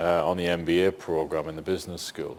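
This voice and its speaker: Very fast, a man speaks in a northeast English accent. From northeast England. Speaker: senior public servant. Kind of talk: panel Q&A discussion.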